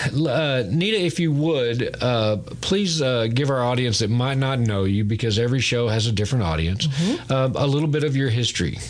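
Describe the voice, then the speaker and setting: Noticeable background noise sits behind a man speaking at a moderate pace and medium pitch. His intonation is lively and his loudness very even. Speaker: radio host. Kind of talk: interview. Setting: studio.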